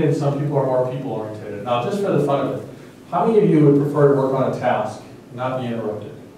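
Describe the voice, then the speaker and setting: A man speaks at a very fast pace and fairly high pitch. Noticeable background noise and audible room echo surround him. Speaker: dean giving a leadership seminar. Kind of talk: lecture.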